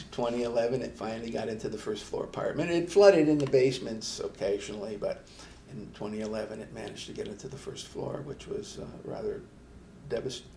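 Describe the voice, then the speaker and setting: Talking at a very fast pace with an American accent, a man makes big swings in loudness amid audible room echo. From upstate New York (Schenectady). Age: 70s. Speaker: retired engineer and Navy veteran. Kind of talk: casual interview. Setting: studio. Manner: halting, many fillers.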